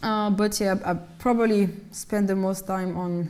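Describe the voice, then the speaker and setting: In a French accent, a woman speaks at a moderate pace and medium pitch with a dark, mellow tone and monotone, flat intonation, with audible room echo. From France, Malian-French heritage. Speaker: singer and actress. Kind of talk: interview in lecture series. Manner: hesitant, with false starts.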